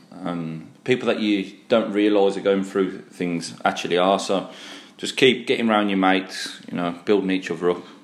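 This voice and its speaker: A man's fairly low voice with a Brummie accent, at a moderate pace and with fairly even intonation. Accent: Brummie (Birmingham). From Birmingham, England. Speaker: podcast host. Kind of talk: casual chat.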